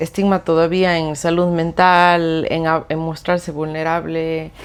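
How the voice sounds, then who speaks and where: A woman talks at a very slow pace. Her recording is very clean, and the background is silent. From Ecuador (Cuenca). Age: 30s. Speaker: clinical psychologist. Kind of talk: podcast interview. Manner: hesitant, many fillers.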